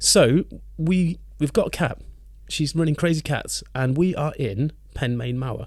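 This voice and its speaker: At a fairly slow pace, a man talks in a fairly high, somewhat breathy voice with ordinary pitch variation. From England. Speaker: podcast co-host and musician. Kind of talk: casual chat.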